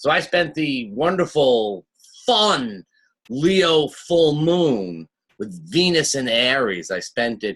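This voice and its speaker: In a Long Island accent, a man with a fairly high pitch speaks at a very slow pace with very wide pitch swings. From Long Island, New York. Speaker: astrologer. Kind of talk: weekly forecast monologue. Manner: casual, with many fillers.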